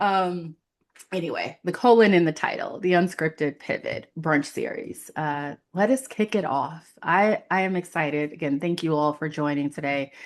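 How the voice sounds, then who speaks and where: With an American accent, a woman speaks at a fairly low pitch over a quiet background. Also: ordinary pitch variation, moderate pace. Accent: New York, comes and goes. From New York City (Queens). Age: 40s. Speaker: career coach. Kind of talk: casual chat. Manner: many fillers and false starts.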